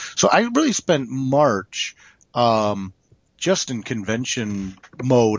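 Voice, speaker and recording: A man talks in an animated tone. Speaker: comic creator and co-host. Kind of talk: casual chat. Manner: animated, joking.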